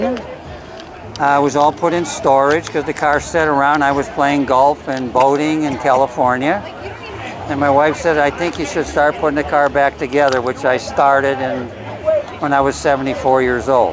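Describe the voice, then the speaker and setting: Noticeable background noise sits behind the voice. A man with an American accent speaks at a fairly high pitch. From US Midwest, Chicago area (Lyons, Illinois). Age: 70s. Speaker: classic car owner. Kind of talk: casual interview.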